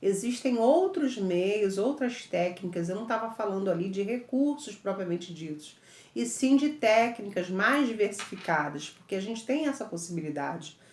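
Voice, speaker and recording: Using an ordinary speaking voice, a woman at medium pitch talks at a moderate pace with lively intonation and hardly any pauses. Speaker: teacher. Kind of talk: lecture.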